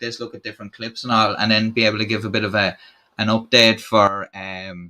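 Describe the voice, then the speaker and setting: Very fast speech comes from a man. He has an Irish accent. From Ireland. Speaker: YouTube channel host. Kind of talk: live stream chat. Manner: casual, halting with fillers.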